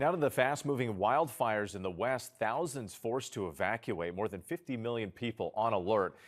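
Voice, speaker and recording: An ordinary speaking voice moves at a moderate pace with lively intonation. The recording is very clean, with a silent background. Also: man. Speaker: TV evening news anchor. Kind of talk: TV news anchor broadcast delivery.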